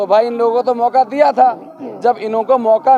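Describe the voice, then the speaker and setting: With fairly even intonation, a man speaks at an extremely high pitch in a dry, close sound with no echo, amid noticeable background noise. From Delhi (Badarpur). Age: young. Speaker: election candidate. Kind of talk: interview.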